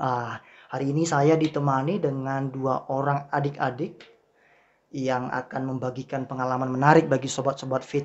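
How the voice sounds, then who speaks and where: This man talks at a moderate pace and a medium pitch, his intonation flat and monotone. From Riau, Indonesia. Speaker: podcast host, lecturer. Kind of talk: casual chat.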